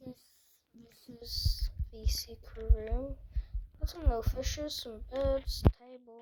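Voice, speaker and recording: A man speaks at a very slow pace, leaving long, frequent pauses. His loudness swings widely. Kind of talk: casual gameplay commentary.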